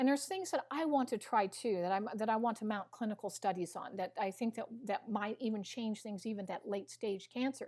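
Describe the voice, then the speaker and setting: A woman with an American accent and a fairly high, somewhat breathy voice, an animated tone, ordinary pitch variation, big swings in loudness and a fairly quick pace, on a very clean recording with a silent background. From US Midwest, Missouri. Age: 60s. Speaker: nutritionist and biochemist. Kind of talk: interview.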